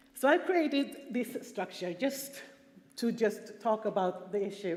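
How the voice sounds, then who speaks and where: With a Swedish accent, a woman speaks at a fairly slow pace in a fairly high voice with ordinary pitch variation, against noticeable background noise. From Sweden. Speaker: prostitution survivor and conference speaker. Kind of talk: conference talk. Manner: halting, with fillers and repetitions.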